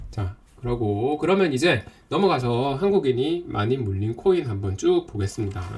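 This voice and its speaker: A man speaks at a moderate pace in a somewhat breathy, medium-pitched voice with very wide pitch swings. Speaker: crypto investing instructor. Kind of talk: online lecture. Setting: Zoom live stream.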